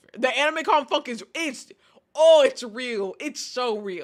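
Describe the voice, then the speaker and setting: A woman with an American accent speaks in an animated tone at a high pitch, her pitch swinging very widely. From Texas. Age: 20s. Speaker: streamer. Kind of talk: casual chat.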